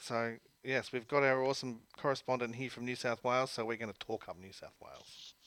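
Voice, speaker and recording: With an Australian accent and big swings in loudness, the voice moves at a fairly quick pace over a very clean recording with a silent background. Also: man, medium pitch for a man. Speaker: sports radio host. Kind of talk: casual chat. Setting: studio. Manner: animated.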